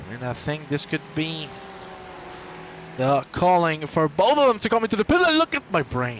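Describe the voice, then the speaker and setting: With a Spanish accent and a fairly high pitch, a man talks in an animated tone at a moderate pace, his pitch swinging very widely between long, frequent pauses over noticeable background noise. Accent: Spanish, non-native English. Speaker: sim racing commentator. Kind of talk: live commentary. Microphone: poor microphone.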